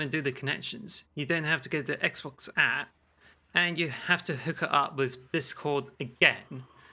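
In a very clean recording with a silent background, a man with a slight Cornish accent speaks at a moderate pace in a fairly high, bright and sharp voice. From Cornwall, raised among farmers. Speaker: podcast co-host.

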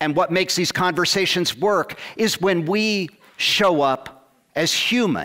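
A man with an unremarkable speaking voice speaks at a fairly high pitch in an American accent. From Ohio, US Midwest. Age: 60s. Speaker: political organizer and canvassing trainer. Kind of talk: casual interview conversation; TED talk.

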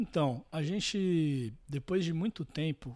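On a very clean recording with a silent background, a man with an ordinary speaking voice talks at a fairly slow pace with lively intonation. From Santos, São Paulo coast, Brazil. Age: 20s. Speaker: singer-songwriter and guitarist. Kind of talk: casual interview.

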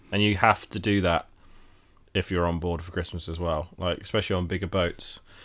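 Over a silent background on a very clean recording, a man talks very fast in a very deep, low pitch with flat, monotone intonation. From Britain. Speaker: podcast co-host, yacht skipper. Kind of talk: casual chat.

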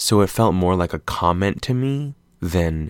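Very deep and low in pitch, a man with a slight Californian accent uses an animated tone and lively intonation in a dry, close sound with no echo, on a very clean recording with a silent background. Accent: general American with slight Californian lean. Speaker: podcast host, film commentator. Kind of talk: casual solo monologue. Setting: late night solo recording.

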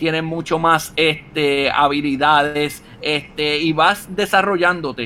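A man speaks at a high pitch in an animated, bright and sharp tone. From Puerto Rico, Utuado. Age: 30s. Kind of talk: casual interview.

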